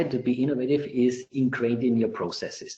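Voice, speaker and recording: A man speaks with an Austrian accent in a somewhat breathy voice. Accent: non-UK, Austrian. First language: German. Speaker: IT director. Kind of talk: webinar Q&A. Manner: halting, many repetitions.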